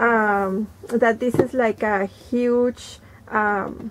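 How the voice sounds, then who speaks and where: Noticeable background noise fills the recording. Over it, a woman talks. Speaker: thrift haul host. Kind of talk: casual vlog chat. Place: home room.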